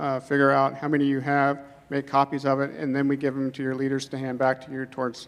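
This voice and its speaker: Quietly and at a very fast pace, a man talks with a fairly high pitch. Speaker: youth ministry leader. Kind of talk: announcements to group. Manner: quietly spoken.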